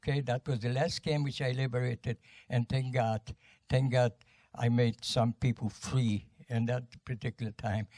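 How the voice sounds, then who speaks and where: Speaking at a moderate pace with a Polish accent, a man has a medium-pitched, somewhat breathy voice, dark and mellow in tone, with a dry, close sound and no echo. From Poland. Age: 90s. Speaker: war veteran. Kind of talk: testimony. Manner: halting.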